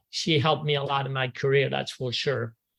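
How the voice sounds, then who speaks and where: A man with a French accent speaks in a fairly high, somewhat breathy voice. His intonation is flat and monotone. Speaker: golf instructor. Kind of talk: tribute reminiscence. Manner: halting.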